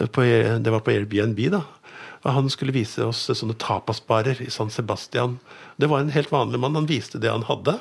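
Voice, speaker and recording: A man's medium-pitched voice with vocal fry, at a fairly slow pace and with ordinary pitch variation. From Norway, Lillestrøm. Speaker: newspaper editor. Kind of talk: casual chat.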